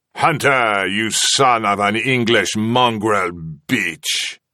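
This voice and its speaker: Using a croaky, put-on character voice, a man speaks at a very slow pace and a medium pitch. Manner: hostile, insulting.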